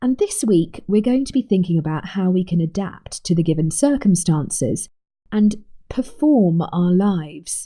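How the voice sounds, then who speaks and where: A woman speaks with lively intonation in a dark, mellow, somewhat breathy tone. Her loudness stays very even. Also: medium pitch for a woman, moderate pace. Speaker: communication coach and trained actress. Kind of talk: coaching talk to camera.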